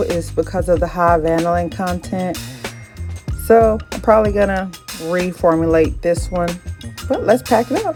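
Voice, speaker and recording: With music in the background, a woman speaks at a fairly slow pace in a Southern US accent. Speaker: small business owner. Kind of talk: casual talk to camera.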